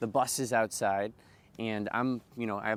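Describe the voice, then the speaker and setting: A man talks with fairly even intonation at a fairly low pitch. The recording is very clean and the background silent. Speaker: vlogger sharing personal stories; yeshiva student. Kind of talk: personal storytelling monologue. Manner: fast.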